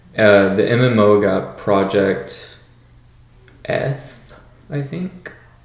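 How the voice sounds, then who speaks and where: The speech moves at a very slow pace with long, frequent pauses. Intonation is lively, and room echo is audible. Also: man, medium pitch for a man. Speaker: gaming podcast host. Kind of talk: casual podcast chat. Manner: halting, many fillers.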